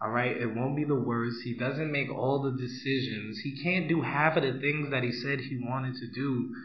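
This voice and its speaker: Someone with a Brooklyn accent talks at a moderate pace with fairly even intonation and hardly any pauses, over noticeable background noise. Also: man, medium pitch for a man. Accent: New York (Brooklyn). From US Northeast, Brooklyn, New York City. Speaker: podcast guest. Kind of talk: casual chat. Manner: loud.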